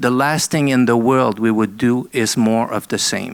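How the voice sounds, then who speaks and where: At a moderate pace, a man speaks with fairly even intonation and a medium pitch. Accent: French Canadian. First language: French. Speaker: arts council CEO. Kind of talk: panel presentation. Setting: seminar with audience. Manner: halting, many fillers.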